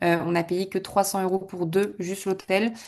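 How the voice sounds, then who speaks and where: Against a quiet background, a woman of medium pitch speaks at a moderate pace in a monotone, flat way. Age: 20s. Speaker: club member giving testimonial. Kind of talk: testimonial in an online masterclass. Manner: casual, many hesitations.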